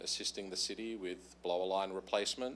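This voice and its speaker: A man talks with an Australian accent. His pace is moderate and his intonation fairly even. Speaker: utility contractor presenter. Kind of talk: presentation to council. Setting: council meeting.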